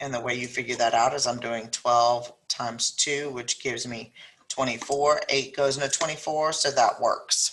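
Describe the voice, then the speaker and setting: A woman speaks with a South Louisiana accent at a moderate pace. Her very deep, low-pitched voice stays monotone and flat. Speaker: math teacher. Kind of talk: lesson tutorial. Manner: casual, step-by-step explaining.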